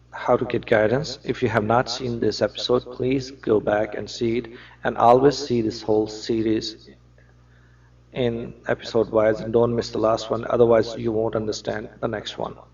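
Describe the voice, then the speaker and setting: A man with a non-native accent speaks at a moderate pace. His intonation is monotone and flat. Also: medium pitch for a man. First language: non-native English speaker. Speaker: religious lecturer. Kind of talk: religious lecture to camera.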